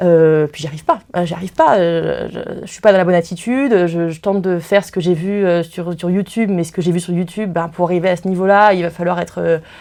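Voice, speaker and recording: A woman with a fairly low pitch speaks at a very fast pace with hardly any pauses. Her loudness swings widely, and there is noticeable background noise. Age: 20s. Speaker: law student. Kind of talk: interview. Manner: halting.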